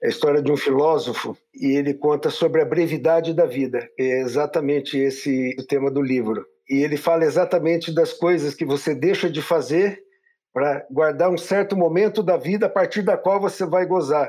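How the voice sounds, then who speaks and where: A man at a fairly high pitch, ordinary pitch variation and a moderate pace over a quiet background. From interior of São Paulo state, Brazil. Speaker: physician and entrepreneur. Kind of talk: casual interview.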